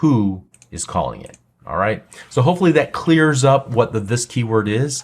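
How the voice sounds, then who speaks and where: A man speaks with lively intonation on a very clean recording with a silent background. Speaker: programming instructor. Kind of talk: tutorial. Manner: slow, deliberate.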